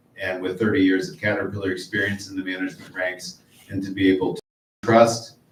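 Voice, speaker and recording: A man with a Midwestern US accent talks at a fairly quick pace in a fairly low pitch, his intonation fairly even. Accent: US Midwest. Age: 50s. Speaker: political candidate. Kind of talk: closing statement at candidate forum. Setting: public library forum with audience.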